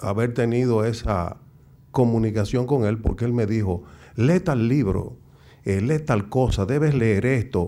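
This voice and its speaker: A man with a dark, mellow tone speaks at a medium pitch, with audible room echo. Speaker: intellectual and TV commentator. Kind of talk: speech. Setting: stage with audience.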